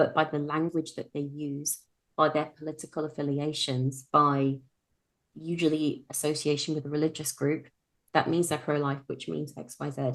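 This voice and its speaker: Speaking with a British accent, a woman has a very deep, low pitch and monotone, flat intonation. Her pace is moderate and the background is quiet. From UK. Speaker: sex coach. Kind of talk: podcast interview.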